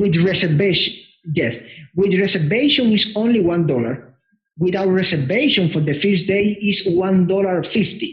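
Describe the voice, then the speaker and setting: In a Spanish accent, a man speaks high-pitched and fairly slowly with lively intonation. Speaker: anime convention organizer. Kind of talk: interview. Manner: halting.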